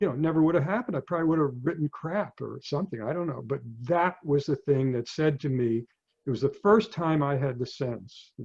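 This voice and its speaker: Lively intonation marks this man's somewhat breathy, fairly high voice. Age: 70s. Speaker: physician and novelist. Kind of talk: talk to an audience. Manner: halting.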